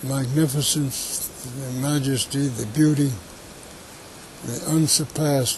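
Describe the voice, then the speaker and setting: Against noticeable background noise, a man with medium pitch speaks at a very slow pace with fairly even intonation. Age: 80s+. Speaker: conservationist. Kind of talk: interview answer. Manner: hesitant.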